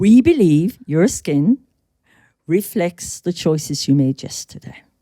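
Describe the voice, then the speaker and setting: Using an Irish accent, a woman with a fairly low pitch talks at a very slow pace with lively intonation and big swings in loudness, in a dry, close sound with no echo. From Ireland. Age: 60s. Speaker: skincare brand co-founder. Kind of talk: podcast interview. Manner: animated.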